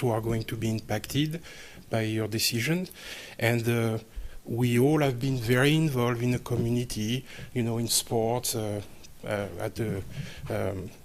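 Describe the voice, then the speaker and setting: Fairly even in intonation, a man speaks at a medium pitch and a moderate pace. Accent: non-native. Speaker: parent giving public comment. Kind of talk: public comment at board meeting. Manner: halting, many fillers.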